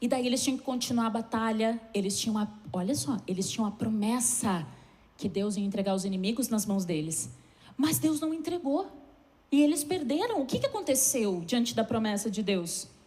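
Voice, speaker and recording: With audible room echo around her, a woman speaks with lively intonation. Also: fairly high pitch for a woman, moderate pace. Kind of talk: sermon.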